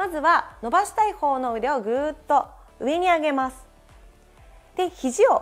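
With faint music in the background, a woman speaks at a moderate pace in a high pitch. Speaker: stretch trainer. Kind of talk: tutorial. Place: studio. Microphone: lapel.

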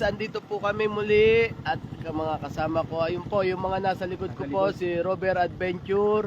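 At a moderate pace with hardly any pauses, the speech shows ordinary pitch variation against noticeable background noise. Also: man. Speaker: vlogger. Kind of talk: travel vlog narration. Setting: outdoors. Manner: animated.

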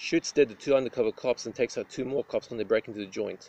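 A man speaks at a very fast pace, the sound dry with no echo. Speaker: film reviewer. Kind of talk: review commentary. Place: open country. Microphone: phone near.

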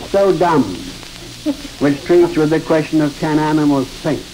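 Light background noise runs under speech delivered at a moderate tempo. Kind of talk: interview answer. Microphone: old recording.

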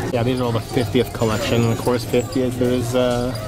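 Clear music plays in the background as a man talks in a dry sound with no echo. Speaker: store tour vlogger. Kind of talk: casual vlog chat. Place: shop. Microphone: phone near.

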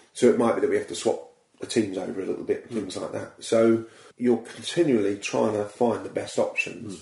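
A man speaks at a fairly quick pace in an English accent. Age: 40s. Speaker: comedy impressionist. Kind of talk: casual chat. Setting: studio.

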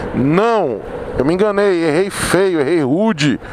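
Recorded dry with no echo but with noticeable background noise, a man speaks in a high voice with ordinary pitch variation. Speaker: motovlogger doing a test ride. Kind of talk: casual vlog chat. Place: motorbike. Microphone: helmet.

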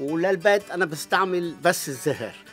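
A man's high-pitched voice at a fairly slow pace, faint music in the background. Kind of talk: interview answer. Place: garden. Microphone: phone near.

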